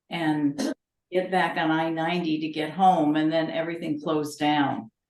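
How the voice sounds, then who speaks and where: A woman with an American accent, very deep and low in pitch, in a monotone, flat delivery. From Connecticut. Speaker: genealogy society member. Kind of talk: casual chat.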